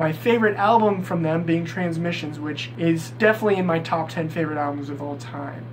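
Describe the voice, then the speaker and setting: Over noticeable background noise and audible room echo, a high-pitched man speaks fairly quickly with lively intonation. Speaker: music YouTuber. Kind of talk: casual countdown vlog. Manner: animated.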